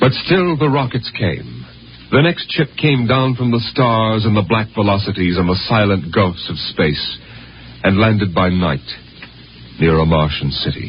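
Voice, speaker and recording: Noticeable background noise surrounds a man speaking at a fairly slow pace. His fairly low voice makes very wide pitch swings. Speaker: radio drama narrator. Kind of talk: old-time radio drama narration. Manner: dramatic, measured narration.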